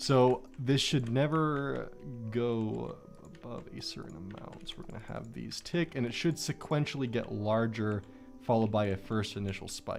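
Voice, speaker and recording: With lively intonation and big swings in loudness, a man talks at a moderate pace and medium pitch against noticeable background noise. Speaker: gaming streamer. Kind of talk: live stream commentary while building. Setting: live stream.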